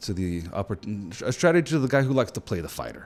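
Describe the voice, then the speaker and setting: Lively intonation at a fairly quick pace. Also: man. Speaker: tabletop gaming youtuber. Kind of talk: casual commentary video.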